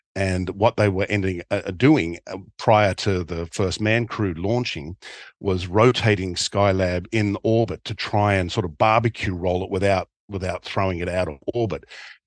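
A man with an Australian accent talks at a moderate pace and a fairly low pitch, with fairly even intonation and hardly any pauses. The sound is dry and close with no echo, against a quiet background. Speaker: documentary filmmaker. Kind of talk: interview.

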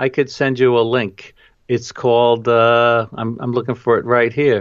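A man with a New York accent at a fairly slow pace. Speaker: travel photographer and educator. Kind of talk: interview.

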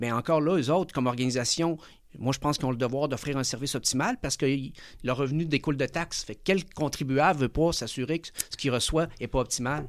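Speaking at a very fast pace, a man talks at a fairly high pitch. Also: ordinary pitch variation. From Chile (Santiago), living in Quebec. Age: 40s. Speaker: entrepreneur, management consultant. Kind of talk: interview.

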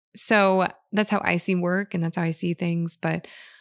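Dry and close with no echo on a very clean recording with a silent background, a woman speaks at a moderate pace with a fairly low pitch and fairly even intonation. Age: 30s. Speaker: podcast host, gardening educator. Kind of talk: casual monologue.

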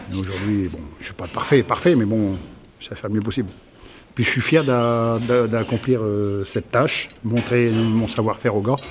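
The man's voice sits at a medium pitch, and he talks at a moderate pace. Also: ordinary pitch variation. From northern France, Somme. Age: 50s. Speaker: former farmer, ex-prisoner, farm supervisor. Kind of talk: testimony. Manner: halting, repeats words.

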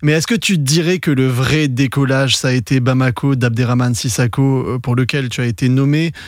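With an ordinary speaking voice, a man talks at a medium pitch and varies it in an ordinary way. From Senegal. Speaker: podcast host, film journalist. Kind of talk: interview.

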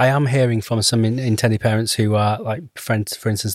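The sound is dry and close, with no echo. A man with a fairly low pitch speaks at a fairly quick pace. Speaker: podcast co-host, surrogacy organisation. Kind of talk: casual interview chat. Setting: studio.

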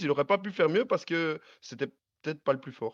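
Against a quiet background, a man talks at a fairly quick pace with very wide pitch swings, the sound dry and close with no echo. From Belgium. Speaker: cycling fan panelist. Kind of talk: casual chat.

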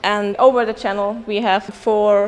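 With a German accent, a woman speaks at a fairly slow pace over noticeable background noise. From Germany. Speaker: master's student. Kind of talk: interview.

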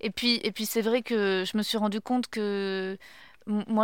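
At medium pitch and with monotone, flat intonation, a woman speaks on a very clean recording with a silent background. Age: 30s. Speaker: podcast host and comedian. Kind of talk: casual chat.

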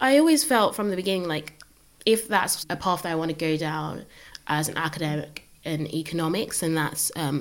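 An unremarkable speaking voice, moderate in pace, its pitch varying in an ordinary way. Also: woman. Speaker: economics undergraduate. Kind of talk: casual conversation.

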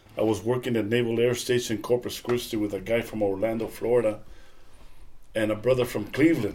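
Here a man with an American accent talks at a fairly quick pace. His medium-pitched voice has monotone, flat intonation. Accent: South Texas Mexican American English. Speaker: father of the host, retiree sharing life stories. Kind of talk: casual chat.

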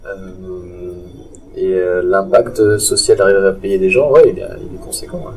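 A man speaks at a very slow pace with big swings in loudness while music plays in the background. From Strasbourg, Alsace, France. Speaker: urban farm entrepreneur. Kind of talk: casual interview. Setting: underground urban farm in a converted car park.

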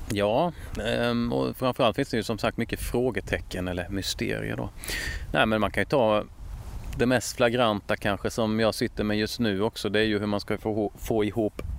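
A man's fairly low-pitched voice with vocal fry at a moderate pace. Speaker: author and true-crime YouTuber. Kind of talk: interview. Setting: outdoors. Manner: halting.

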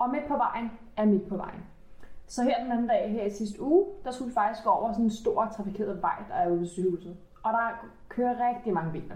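A fairly high-pitched woman speaks at a fairly quick pace with ordinary pitch variation. Noticeable background noise and audible room echo are present. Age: 20s. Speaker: medical secretary and dog owner. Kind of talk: casual chat.

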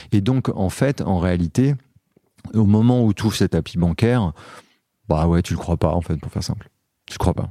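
This man's pitch is very deep and low, with ordinary variation and a dark, mellow tone. He talks at a moderate pace with long, frequent pauses. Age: 40s. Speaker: entrepreneur and author. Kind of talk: interview.

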